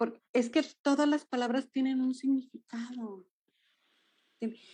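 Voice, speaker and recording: A woman with a Jalisco accent speaks at a high pitch with ordinary pitch variation. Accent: Jalisco Mexican, sing-song. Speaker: dance movement therapist. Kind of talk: interview conversation.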